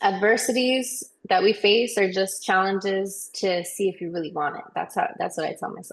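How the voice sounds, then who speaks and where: With an American accent, a woman talks at a moderate pace and medium pitch, using ordinary pitch variation in an ordinary speaking voice. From New York / New Jersey area. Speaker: singer, songwriter, recording artist. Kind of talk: interview answer.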